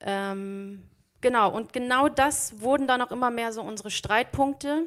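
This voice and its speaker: A woman with an ordinary speaking voice and ordinary pitch variation talks at a fairly slow pace. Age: 30s. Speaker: teacher and lay preacher. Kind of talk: sermon.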